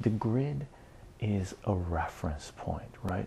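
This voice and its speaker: Soft-spoken and fairly slow, this man talks in a very deep, low voice. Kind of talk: educational lecture.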